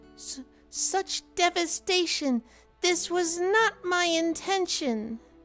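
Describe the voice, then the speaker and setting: A put-on character voice speaks at an extremely high pitch and a very slow pace. Faint music plays in the background. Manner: theatrical, dramatic, anguished.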